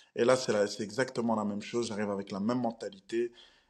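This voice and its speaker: In a very clean recording with a silent background, a man speaks at a medium pitch and moderate pace. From Belgium. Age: 20s. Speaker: professional MMA fighter. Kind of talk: interview.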